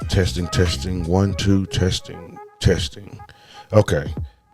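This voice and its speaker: A man's very deep, low voice comes through with music in the background. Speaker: live streamer. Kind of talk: casual live stream chat. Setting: live stream.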